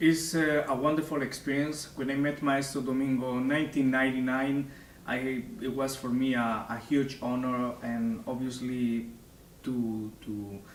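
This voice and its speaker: A man with a Spanish accent talks at a fairly slow pace with fairly even intonation, amid noticeable background noise and audible room echo. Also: medium pitch for a man. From Spain. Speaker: opera singer. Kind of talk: interview. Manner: halting.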